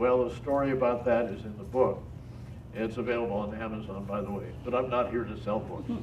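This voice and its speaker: A man talks with monotone, flat intonation. Audible room echo is present. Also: medium pitch for a man. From Pittsburgh, Pennsylvania. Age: 80s+. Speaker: retired TV weatherman and speaker. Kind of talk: talk to an audience. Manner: halting, many fillers.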